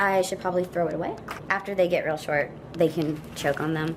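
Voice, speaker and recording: With noticeable background noise behind her, a woman talks in a Long Island accent. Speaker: pet vlogger. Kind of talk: casual vlog tutorial. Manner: chatty, talkative.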